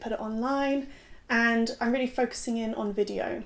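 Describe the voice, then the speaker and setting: With an English accent, a woman speaks at a high pitch in a monotone, flat way. Noticeable background noise runs beneath her voice. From southwest England, rural. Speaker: content creator. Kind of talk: casual vlog monologue.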